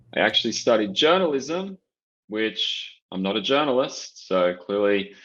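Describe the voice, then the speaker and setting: Here a man with an Australian accent speaks at medium pitch and a moderate pace. The background is quiet. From Australia, Canberra. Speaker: sports marketing director. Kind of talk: podcast interview.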